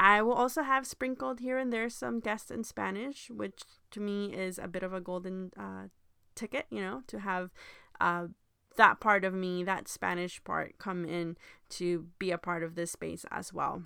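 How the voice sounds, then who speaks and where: A bright, sharp-toned woman with an American accent, medium pitch, lively intonation and a moderate pace, on a very clean recording with a silent background. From Honduras, then Miami, Florida. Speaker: podcast host. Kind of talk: scripted monologue.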